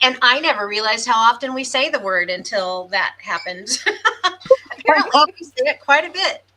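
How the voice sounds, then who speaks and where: With a raised, projected voice, a woman speaks at a high pitch and a fairly quick pace, her pitch swinging very widely. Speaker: podcast host. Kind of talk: casual chat. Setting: live stream.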